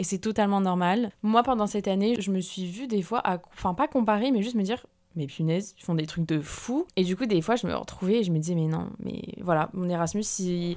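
At a medium pitch, a woman talks at a fairly quick pace with ordinary pitch variation and hardly any pauses. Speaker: podcast host. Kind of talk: casual monologue. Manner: hesitant, many fillers.

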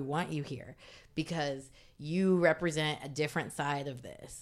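On a very clean recording with a silent background, a woman speaks in an American accent. Her pitch is very deep and low, and her pace is moderate. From Indiana, US Midwest. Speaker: meme page founder. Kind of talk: casual interview.

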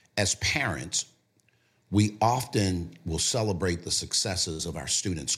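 A man talks at a moderate pace with a very deep, low pitch. His voice carries vocal fry. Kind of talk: casual interview.

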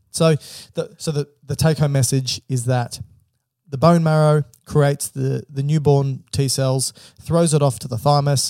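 A somewhat breathy man with a dark, mellow tone, a moderate pace, fairly even intonation, and a dry, close sound with no echo. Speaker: medical podcast host. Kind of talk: casual chat. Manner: joking.

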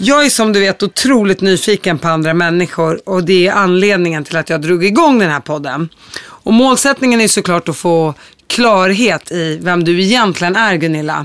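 A woman talks in an ordinary speaking voice at a medium pitch. Her pace is moderate and her intonation lively. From Syria, Palestinian roots. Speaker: podcast host. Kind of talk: interview.

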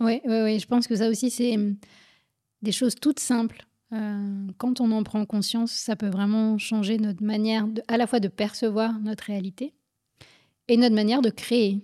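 A woman talks at a moderate pace in a fairly high pitch, monotone and flat, with long, frequent pauses. Her tone is dark and mellow, and the recording is very clean with a silent background. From France, Paris suburbs. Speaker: physician and author. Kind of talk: interview.

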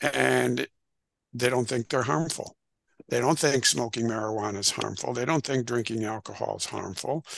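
Vocal fry marks this man's medium-pitched voice. He keeps a moderate pace with ordinary pitch variation. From US Midwest, northern Illinois. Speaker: retired addiction counselor and author. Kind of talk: interview.

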